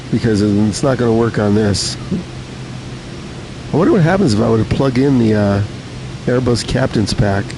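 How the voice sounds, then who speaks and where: Noticeable background noise sits behind a man speaking at a moderate pace in a relaxed tone. His pitch is medium and varies in an ordinary way. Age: 70s. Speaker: gaming live streamer. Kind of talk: casual live stream chat. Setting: live stream, reading chat. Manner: relaxed, frequent filler 'uh'.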